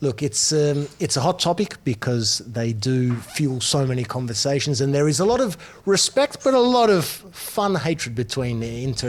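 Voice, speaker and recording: A man talks with an Australian accent and lively intonation. Noticeable background noise runs underneath. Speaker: football broadcaster. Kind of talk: casual chat. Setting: restaurant.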